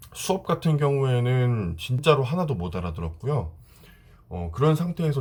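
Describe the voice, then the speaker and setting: A man speaks at a fairly quick pace, his voice somewhat breathy and his pitch swinging very widely. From South Korea, with six school years in Dalian, China. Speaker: vlogger. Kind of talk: casual vlog talk to camera.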